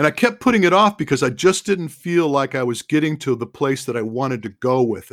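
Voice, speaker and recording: An ordinary speaking voice from a man, fairly high in pitch, at a fairly quick pace. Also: hardly any pauses. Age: 60s. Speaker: running form analyst and endurance training advisor. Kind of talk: casual interview.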